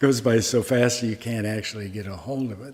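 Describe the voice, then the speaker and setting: A man with a Midwestern US accent is speaking. His pitch sits in the medium range and varies in an ordinary way. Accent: General American, Midwestern. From US Midwest, Omaha, Nebraska. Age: 80s+. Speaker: Zen master, Buddhist monk teacher. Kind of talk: dharma talk with questions and answers. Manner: casual, conversational.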